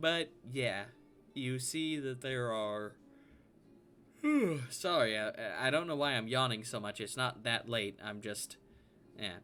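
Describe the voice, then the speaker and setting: A man with a Southern US accent speaks fairly slowly at a medium pitch, with ordinary pitch variation. He leaves long, frequent pauses, and music plays in the background. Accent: US Southern, slips through. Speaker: game master. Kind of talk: tabletop role-play narration.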